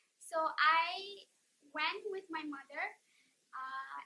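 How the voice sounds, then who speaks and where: A woman's raised, projected voice, high-pitched and bright, sharp in tone, with ordinary pitch variation. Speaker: vlogger. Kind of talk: casual chat.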